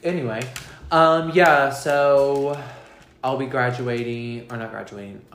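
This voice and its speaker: A man at a fairly slow pace with fairly even intonation, plus audible room echo and noticeable background noise. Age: 20s. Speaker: podcast co-host. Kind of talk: casual chat.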